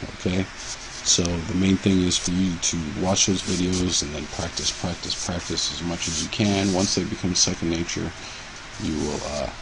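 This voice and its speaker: A man speaks in a very deep, low pitch with monotone, flat intonation. Noticeable background noise and audible room echo surround him. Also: moderate pace. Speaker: chemistry teacher. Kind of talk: lecture. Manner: halting.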